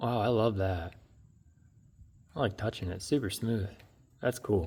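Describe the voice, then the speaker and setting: Fairly low in pitch and somewhat breathy, a man talks at a fairly slow pace. His pitch variation is ordinary. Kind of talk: unboxing show and tell. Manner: animated.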